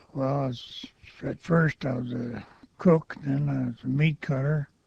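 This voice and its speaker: A man is speaking here. His pace is very slow. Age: 80s+. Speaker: war veteran. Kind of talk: oral history interview. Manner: halting.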